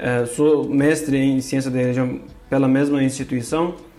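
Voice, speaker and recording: Against noticeable background noise, a man with a fairly high pitch speaks at a fairly slow pace in a monotone, flat intonation. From Turkey, Kurdish. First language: Turkish or Kurdish (speaking Portuguese). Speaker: religion scholar. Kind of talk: interview. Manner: halting, many fillers.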